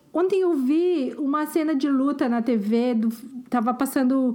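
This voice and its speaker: A woman's high voice with a dark, mellow tone, ordinary pitch variation and a fairly slow pace. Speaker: podcast co-host. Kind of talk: casual chat.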